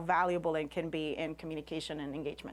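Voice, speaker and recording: This is a woman's voice. She has a Spanish accent. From Puerto Rico, rural. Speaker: scientist and science communicator. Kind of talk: lecture.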